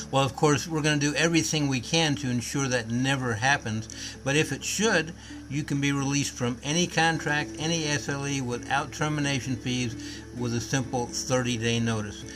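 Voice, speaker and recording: Moderate pace and ordinary pitch variation in an American accent, with music in the background. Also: man, fairly high pitch for a man. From US South, Nashville, Tennessee. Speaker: company executive. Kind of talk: sales pitch.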